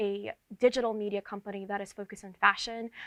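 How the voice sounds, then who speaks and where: A woman with an American accent talks very fast in a bright, sharp tone. The sound is dry and close with no echo, on a very clean recording with a silent background. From New York tri-state area. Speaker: entertainment editor. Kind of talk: interview. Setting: video shoot with camera crew. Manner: energetic.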